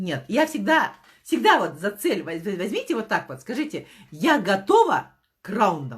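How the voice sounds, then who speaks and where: A woman speaks in an animated tone at a fairly slow pace. Her pitch swings very widely, with vocal fry. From Kazakhstan. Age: 50s. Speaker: network marketing director. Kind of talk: motivational talk. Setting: live stream.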